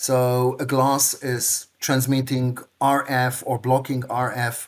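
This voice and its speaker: This man speaks at a very slow pace. The background is quiet. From Israel, Tel Aviv. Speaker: packaging industry executive. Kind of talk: interview. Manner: halting. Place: home room. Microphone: webcam.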